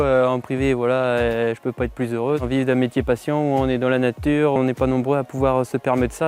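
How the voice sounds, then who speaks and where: A normal speaking voice, fairly quick and fairly even in intonation. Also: man. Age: 20s. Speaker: sheep farmer. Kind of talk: interview testimony.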